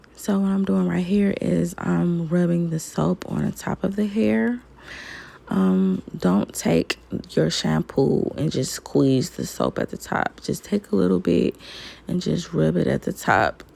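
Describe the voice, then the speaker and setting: Very deep and low in pitch, a woman's voice swings very widely in pitch at a fairly slow pace. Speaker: beauty vlogger. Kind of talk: tutorial. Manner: casual.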